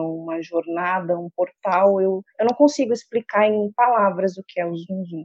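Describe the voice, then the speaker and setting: A woman's normal speaking voice at a medium pitch and moderate pace, with ordinary pitch variation. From Rio Grande do Sul, Brazil. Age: 40s. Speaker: mother, homemaker. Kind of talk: casual chat.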